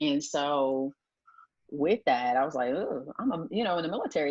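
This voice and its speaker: With an American accent, a woman with a very deep, low voice talks at a fairly quick pace with ordinary pitch variation. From Delaware, US. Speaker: retired naval officer and entrepreneur. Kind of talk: interview. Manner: hesitant, many fillers.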